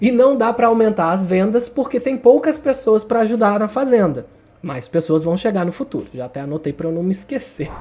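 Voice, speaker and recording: Over noticeable background noise, a man with a high-pitched voice talks at a fairly quick pace with very wide pitch swings. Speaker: writing YouTuber. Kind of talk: casual tutorial monologue. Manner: fast.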